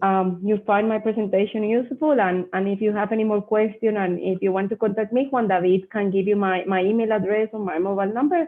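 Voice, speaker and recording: A woman talks at a very fast pace, keeping her loudness very even. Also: medium pitch for a woman, ordinary pitch variation. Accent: Spanish. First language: Spanish. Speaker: mining company representative. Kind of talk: Q&A after a presentation. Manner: halting.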